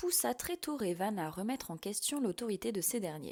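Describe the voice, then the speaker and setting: Her tone is dark and mellow, and her pitch swings very widely at a moderate pace. The woman is recorded very cleanly against a silent background. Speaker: voice-over narrator. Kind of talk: audiobook fiction narration.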